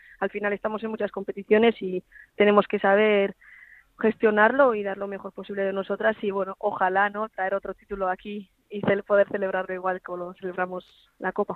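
A woman's medium-pitched voice, monotone and flat in intonation, at a fairly quick pace. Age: 20s. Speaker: professional footballer. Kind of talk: phone interview.

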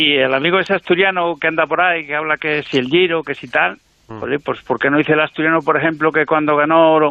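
A man talks at a very fast pace. His fairly high pitch follows a fairly even intonation. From Cantabria, Spain. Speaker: radio show caller. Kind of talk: casual chat.

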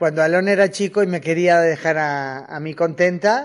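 The pace is moderate as a woman speaks at a fairly low pitch. Her pitch variation is ordinary.

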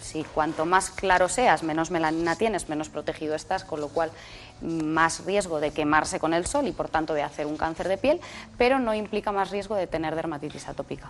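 This woman has a fairly low pitch with ordinary pitch variation and a plain, everyday voice. She talks at a fairly quick pace. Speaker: dermatologist. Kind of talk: expert interview.

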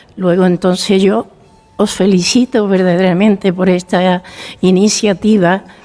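A female speaker talks very slowly while clearly audible noise runs in the background. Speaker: founder of a senior cohousing community. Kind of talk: radio interview.

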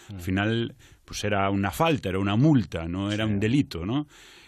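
A man with a plain, everyday voice speaks at a moderate pace and fairly low pitch against a quiet background. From Galicia, Culleredo near A Coruña. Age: 30s. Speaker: actor and comedian. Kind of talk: casual interview.

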